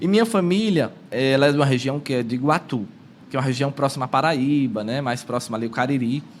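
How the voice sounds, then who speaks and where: With music in the background, a man talks at a very fast pace with a medium pitch and ordinary pitch variation. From São Paulo, in a northeastern (Ceará) family and neighbourhood. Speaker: prayer group leader and lay preacher. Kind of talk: podcast interview, personal faith testimony.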